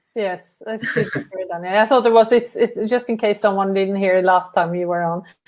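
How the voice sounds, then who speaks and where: A woman at a medium pitch speaks at a moderate pace with fairly even intonation and hardly any pauses. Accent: Norwegian. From Norway. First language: Norwegian. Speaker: travel company director. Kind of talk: live webinar interview.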